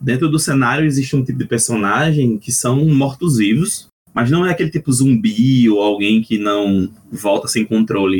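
Lively intonation from a man at a medium pitch, moving at a moderate pace. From Northeast Brazil. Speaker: RPG translator. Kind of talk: casual chat.

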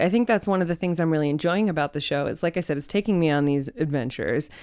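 In an American accent, a woman speaks very fast with fairly low pitch and lively intonation. The recording is very clean, with a silent background. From Arizona, Phoenix area (Ahwatukee). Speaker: journalist and podcast host. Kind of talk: casual interview chat. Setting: studio.

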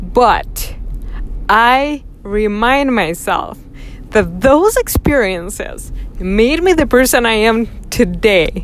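A woman's fairly high-pitched voice with lively intonation at a very slow pace, long, frequent pauses and noticeable background noise. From Russia. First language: Russian. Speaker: podcast host. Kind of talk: personal monologue. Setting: in a car. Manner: reflective, with frequent fillers.

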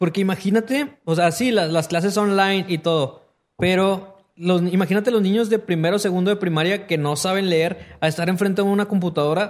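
In an animated tone, a man speaks at a high pitch and a moderate pace with very even loudness. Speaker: podcast host. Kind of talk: casual chat.

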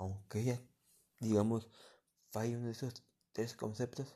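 A man speaks at a medium pitch and a fairly slow pace, his tone dark and mellow, on a very clean recording with a silent background. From Mexico, Michoacán. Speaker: amateur podcaster. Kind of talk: casual monologue. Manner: halting.

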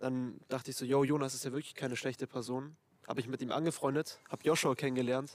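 A man speaks at a very fast pace and medium pitch. His intonation is monotone and flat. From Germany. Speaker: friend of host. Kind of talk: casual chat.

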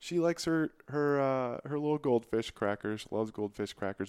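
A man with an American accent and an ordinary speaking voice, at a moderate pace with ordinary pitch variation, on a very clean recording with a silent background. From Michigan. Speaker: physician. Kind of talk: casual interview.

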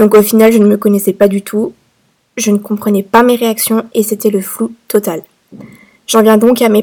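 A woman's dark, mellow voice at a fairly high pitch. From France. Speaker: podcast host. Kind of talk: personal story monologue. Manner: hesitant, many fillers.

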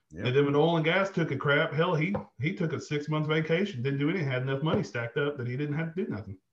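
A man with a Southern US accent talks at a very fast pace. His pitch is fairly high, with ordinary variation. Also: hardly any pauses. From Arkansas. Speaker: army veteran, oil and gas manager. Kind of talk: casual chat.

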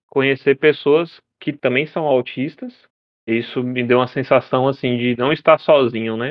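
A man's ordinary speaking voice, medium in pitch, with ordinary pitch variation at a moderate pace. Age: 20s. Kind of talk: casual interview.

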